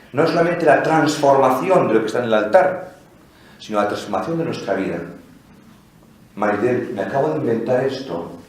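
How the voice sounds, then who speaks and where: Amid noticeable background noise and audible room echo, a man of medium pitch speaks at a moderate pace with very wide pitch swings and long, frequent pauses. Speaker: priest giving a liturgy lecture. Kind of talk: lecture. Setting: basilica with live audience. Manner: animated, conversational.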